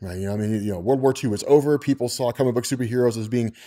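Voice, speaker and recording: The background is quiet. A man's tone comes across dark and mellow. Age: 30s. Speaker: comics explainer YouTuber; comics video creator. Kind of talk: casual monologue. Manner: halting, many repetitions and fillers. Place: home room.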